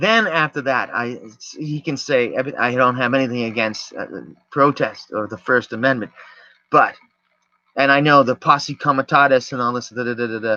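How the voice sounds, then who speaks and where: Loud and with a bright, sharp tone, the voice shows ordinary pitch variation against a quiet background. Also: man, medium pitch for a man, moderate pace. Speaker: video podcaster. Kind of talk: casual monologue.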